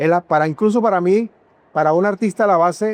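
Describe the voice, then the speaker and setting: Recorded with a dry, close sound and no echo, a man speaks at a high pitch. His intonation shows ordinary pitch variation. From Venezuela, Táchira (San Cristóbal). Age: 70s. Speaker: sculptor. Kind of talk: interview. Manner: hesitant, repeats words.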